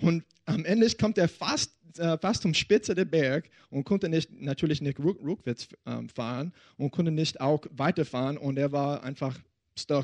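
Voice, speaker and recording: An American accent colors a man's fairly high-pitched, fairly slow speech with ordinary pitch variation. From Texas. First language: English (speaking German). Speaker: pastor. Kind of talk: sermon. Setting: church service with audience. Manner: halting.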